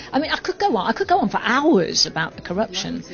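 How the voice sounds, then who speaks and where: A woman with a British accent and very wide pitch swings, over noticeable background noise. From UK. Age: 60s. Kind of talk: interview. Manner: animated.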